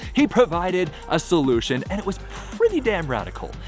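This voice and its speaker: A man with an American accent at a moderate pace, music in the background. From Seattle. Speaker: spoken word poet. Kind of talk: spoken word poetry performance.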